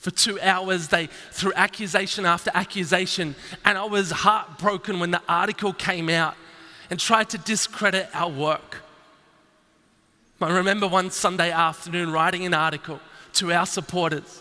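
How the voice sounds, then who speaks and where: A man with an Australian accent speaks at a high pitch and a moderate pace. His intonation stays fairly even over noticeable background noise. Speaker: entrepreneur. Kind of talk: keynote speech. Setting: stage with audience.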